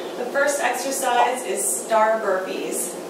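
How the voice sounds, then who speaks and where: A woman speaks with ordinary pitch variation amid loud background noise and audible room echo. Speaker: fitness instructor. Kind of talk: workout tutorial intro.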